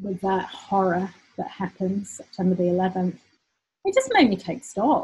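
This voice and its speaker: At a moderate pace, a woman with a British accent talks at a medium pitch in a dark, mellow, somewhat breathy tone with fairly even intonation. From UK. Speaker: business owner, former lawyer. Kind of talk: personal story monologue. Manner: hesitant with repetitions.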